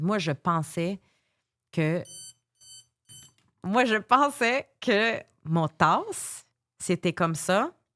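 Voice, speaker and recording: Very slow and full of long, frequent pauses, a woman speaks at a medium pitch with lively intonation. The recording is very clean, with a silent background, and the sound is dry and close with no echo. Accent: slight English. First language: English (speaking French). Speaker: life coach. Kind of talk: interview. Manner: halting.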